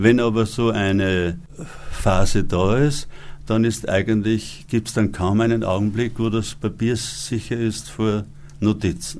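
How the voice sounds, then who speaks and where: A man with a plain, everyday voice, fairly low in pitch with ordinary pitch variation, at a fairly slow pace. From Upper Austria. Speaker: author and actor. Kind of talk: interview.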